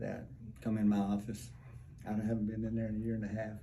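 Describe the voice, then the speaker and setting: In an audible room echo, a man with a fairly low pitch speaks at a fairly quick pace in a monotone, flat intonation. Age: 60s. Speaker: testimonial patient. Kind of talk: testimony.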